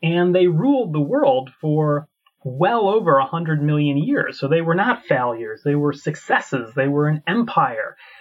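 Speaking at a fairly slow pace, a man uses a plain, everyday voice with fairly high pitch and lively intonation. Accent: American. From United States. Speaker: paleontologist and professor. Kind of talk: interview conversation.

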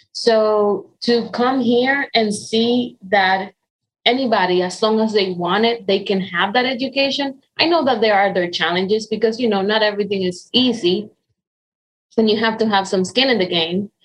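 A woman in a Spanish accent speaks at a moderate pace in a fairly high voice, with ordinary pitch variation and very even loudness. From Dominican Republic. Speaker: nonprofit economic development director. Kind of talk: interview. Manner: hesitant with fillers.

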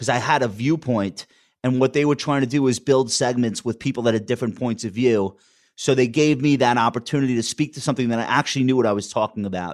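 A man speaks with a Long Island accent at a medium pitch. He talks at a very fast pace with fairly even intonation. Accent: Long Island accent, never trained away. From Long Island, New York. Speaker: wealth manager and TV commentator. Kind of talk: interview.

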